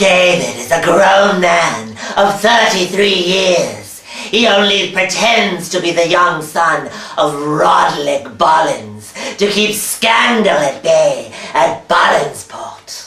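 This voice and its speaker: A put-on character voice at middle pitch speaks at a very slow pace. There is a slight echo. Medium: comedy sketch. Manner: snide, sarcastic.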